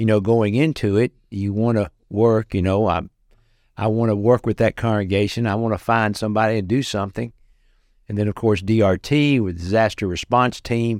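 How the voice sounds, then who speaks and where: Someone with a Southern US accent speaks at a moderate pace with fairly even intonation, in a dry, close sound with no echo and a quiet background. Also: man, fairly low pitch for a man. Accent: US South. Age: 60s. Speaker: clown entertainer and disaster relief volunteer. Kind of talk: interview testimony.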